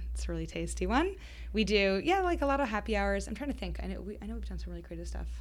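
A woman speaks very fast with an American accent. Audible room echo surrounds her voice. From Boston area. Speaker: founder of an adult summer camp company. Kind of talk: interview.

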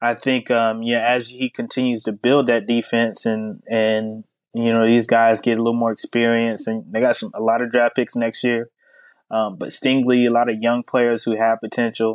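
A medium-pitched man with an American accent, monotone and flat, at a moderate pace, in a dry, close recording with no echo and a quiet background. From US South. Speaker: sports journalist. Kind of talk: casual interview.

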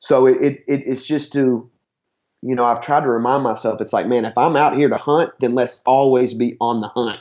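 Medium-pitched, monotone male voice with an Appalachian accent. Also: moderate pace. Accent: Appalachian Southern US. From southeast Kentucky (Harlan County). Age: 30s. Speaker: CrossFit gym owner and hunter. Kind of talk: casual interview. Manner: halting, many fillers and repeats.

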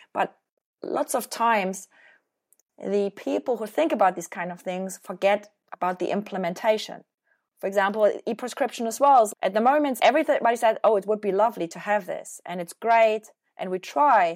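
At a moderate pace, a woman with a German accent speaks at a fairly high pitch, with big swings in loudness. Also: ordinary pitch variation, very clean recording, silent background. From Germany. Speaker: hospital innovation program manager. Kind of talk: interview.

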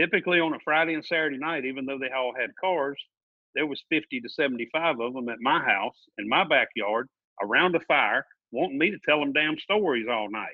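A man with an American accent speaks in a normal speaking voice at a fairly high pitch, at a moderate pace with ordinary pitch variation. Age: 40s. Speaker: guest, NASCAR fan. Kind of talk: casual chat. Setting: remote call.

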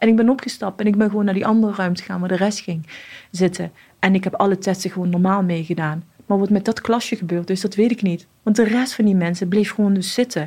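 A woman talks at a very fast pace with fairly even intonation. Her tone is dark and mellow, somewhat breathy. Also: medium pitch for a woman. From Morocco (Casablanca). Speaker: police officer. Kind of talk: interview testimony.

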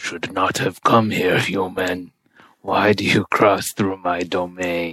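A man puts on a character voice pitched very deep and low. He speaks at a fairly slow pace in a monotone, flat intonation. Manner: menacing.

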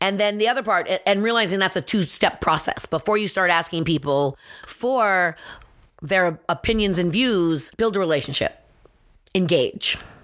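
Over a silent background in a very clean recording, a woman with an unremarkable speaking voice talks at medium pitch and a moderate pace, with ordinary pitch variation and very even loudness. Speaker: nonprofit leader and co-host. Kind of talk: casual podcast conversation.

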